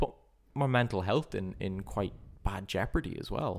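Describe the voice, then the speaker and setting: A man with an Irish accent at a fairly slow pace, ordinary pitch variation, in a very clean recording with a silent background. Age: 20s. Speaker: politics student and watchmaker. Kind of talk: casual chat. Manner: halting, repeats words.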